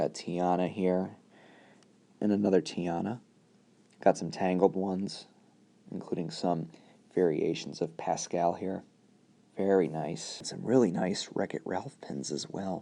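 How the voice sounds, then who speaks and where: Soft-spoken and relaxed in tone, a man talks with a very deep, low pitch and a dark, mellow sound. His pace is fairly slow, broken by long, frequent pauses. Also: ordinary pitch variation. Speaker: pin collector, video creator. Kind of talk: casual talk to camera, hobby show-and-tell. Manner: soft-spoken, relaxed.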